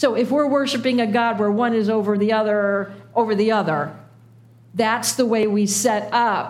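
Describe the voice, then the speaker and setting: There is noticeable background noise. Through it, a woman speaks at a moderate pace. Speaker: preacher. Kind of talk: sermon. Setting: church with congregation.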